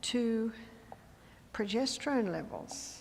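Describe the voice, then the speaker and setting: Vocal fry in an Australian accent, with audible room echo. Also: woman. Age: 70s. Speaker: health educator and speaker. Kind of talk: lecture.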